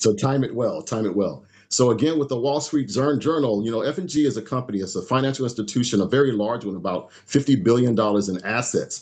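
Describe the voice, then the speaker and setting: A man talks at a very fast pace with hardly any pauses. The background is quiet. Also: medium pitch for a man, lively intonation. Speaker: financial educator. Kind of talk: webinar presentation. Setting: group call.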